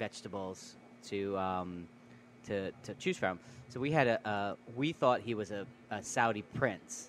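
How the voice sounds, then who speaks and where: A man with an American accent uses a plain, everyday voice at a fairly low pitch with ordinary pitch variation. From New York. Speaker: chef and restaurant co-owner. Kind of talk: casual chat. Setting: restaurant.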